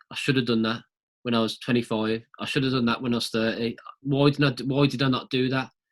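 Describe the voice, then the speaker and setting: A man talks at a very fast pace in a flat, monotone intonation. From West Midlands, Dudley. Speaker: podcast host. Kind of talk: casual interview chat.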